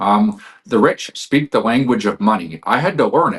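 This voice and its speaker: This man speaks at a fairly quick pace with lively intonation and a medium pitch. It is a normal speaking voice. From Canada. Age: 40s. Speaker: financial expert. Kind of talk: interview.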